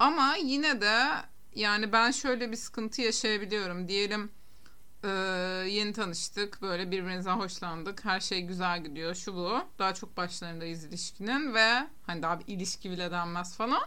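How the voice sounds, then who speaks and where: A woman's bright, sharp voice at medium pitch, moderate in pace with lively intonation, in audible room echo. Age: 30s. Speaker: podcast co-host. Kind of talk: casual chat.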